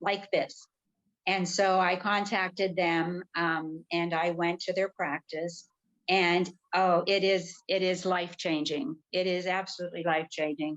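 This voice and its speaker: A woman with a plain, everyday voice talks at a moderate pace, medium pitch and fairly even intonation. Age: 60s. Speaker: retired nurse, cancer survivor. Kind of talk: interview on a live video stream. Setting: live video stream.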